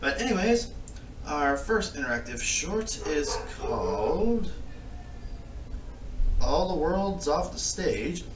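A man speaks at a very slow pace with long, frequent pauses. Light background noise and audible room echo are present. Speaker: reaction vlogger. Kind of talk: casual vlog chat. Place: home room. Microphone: phone near.

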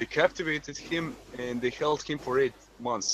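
A man with a Croatian accent talks with ordinary pitch variation, the sound dry with no echo and light noise behind him. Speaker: medical student; panel member. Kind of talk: casual chat. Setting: video call. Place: home room. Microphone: video call.

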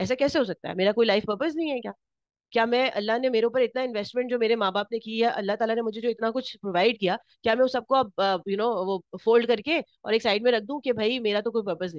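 Over a quiet background, a woman with a fairly high pitch uses a normal speaking voice and ordinary pitch variation, the sound dry and close with no echo. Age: 40s. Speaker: workshop instructor. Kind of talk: workshop lecture.

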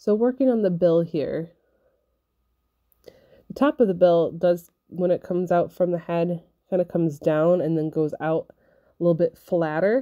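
With a dark, mellow tone and fairly low pitch, a woman speaks at a fairly slow pace, ordinary in pitch variation, pausing long and often against a quiet background. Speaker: felting crafter and kit seller. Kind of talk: craft tutorial narration.

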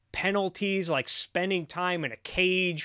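A man at a fairly slow pace, bright and sharp in tone, with fairly even intonation, against a quiet background. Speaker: streamer commentator. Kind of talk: political commentary.

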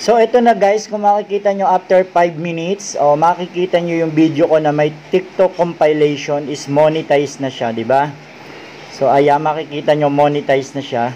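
Moderate pace and ordinary pitch variation over light background noise. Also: man, fairly high pitch for a man. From Philippines. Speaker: YouTuber; tutorial creator. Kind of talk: tutorial. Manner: halting, with many fillers. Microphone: webcam.

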